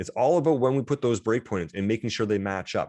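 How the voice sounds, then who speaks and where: A man speaks in an animated tone with lively intonation. The sound is dry and close with no echo, against a quiet background. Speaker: college instructor. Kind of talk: lecture. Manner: fast.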